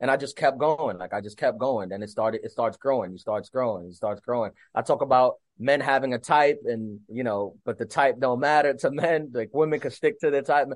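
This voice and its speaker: This is an ordinary speaking voice from a man at a medium pitch. He talks at a fairly quick pace with lively intonation. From US, Dominican American. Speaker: stand-up comedian. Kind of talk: casual interview. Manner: casual, filler-heavy.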